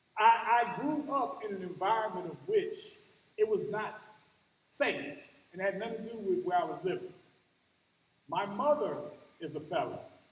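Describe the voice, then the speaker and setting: With an American accent, a man speaks at a high pitch and a moderate pace, with very wide pitch swings, big swings in loudness, long, frequent pauses and audible room echo. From US Midwest, Cleveland, Ohio. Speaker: commencement speaker, college outreach educator. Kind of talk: commencement speech. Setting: graduation ceremony with audience. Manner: animated.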